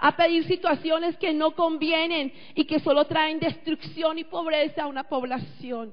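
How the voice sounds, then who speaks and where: Her pitch is extremely high, with ordinary variation. The woman speaks at a fairly slow pace. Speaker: pastor. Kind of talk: sermon.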